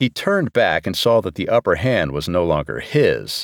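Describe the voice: Someone reads the text aloud in a plain way.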